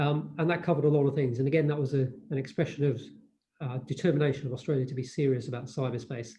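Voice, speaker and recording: A man with a British accent, a fairly high, somewhat breathy voice and a dark, mellow tone, talking at a very fast pace with fairly even intonation. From United Kingdom. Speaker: diplomat speaking on cybersecurity. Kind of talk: panel presentation. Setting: online webinar.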